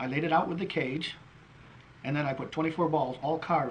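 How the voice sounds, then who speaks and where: With an American accent and fairly even intonation, a man speaks fairly quickly at a fairly high pitch, with audible room echo and noticeable background noise. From New York state. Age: 60s. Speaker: wood carver. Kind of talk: casual explanation of own work. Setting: craft show.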